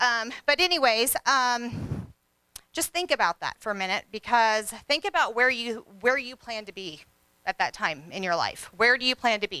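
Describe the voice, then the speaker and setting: A woman speaks loudly at a moderate pace, her tone bright, sharp and energetic with lively intonation. Her pitch is fairly high, and the sound is dry and close with no echo. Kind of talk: motivational talk. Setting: stage with audience.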